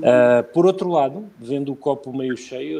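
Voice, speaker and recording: With a medium pitch that varies in an ordinary way, a man is talking. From Portugal. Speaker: bank executive. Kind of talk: live interview. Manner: halting.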